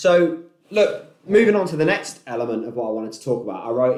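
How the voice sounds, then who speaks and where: The speaker's intonation is lively, and the room echo is audible. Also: man. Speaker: podcast host, entrepreneur. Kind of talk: casual monologue. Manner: loud; laid-back.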